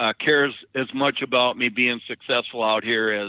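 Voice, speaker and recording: Speaking with monotone, flat intonation, a man holds a medium pitch. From Dakotas, US Upper Midwest. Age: 60s. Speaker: truck driver. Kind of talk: casual interview. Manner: halting.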